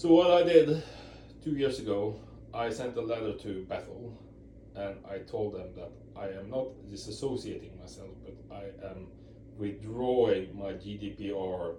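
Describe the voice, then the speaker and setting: A man with a fairly low pitch talks at a fairly slow pace, his intonation lively. The room echo is audible and background noise is noticeable. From Europe. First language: not English. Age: 40s. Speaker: ex-Jehovah's Witness video blogger. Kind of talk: casual talk to camera. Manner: halting, many repeats and fillers.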